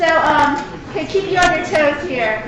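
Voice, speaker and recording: Audible room echo and noticeable background noise surround a woman's voice. She speaks at an extremely high pitch with ordinary pitch variation. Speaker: extension specialist in agricultural marketing. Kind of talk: conference presentation. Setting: stage with audience. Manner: animated.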